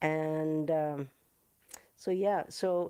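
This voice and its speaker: In a Canadian accent, a woman speaks with a very deep, low pitch, a dark, mellow tone and fairly even intonation. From Canada. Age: 60s. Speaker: musician. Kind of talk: livestream chat. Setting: live video stream. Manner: halting.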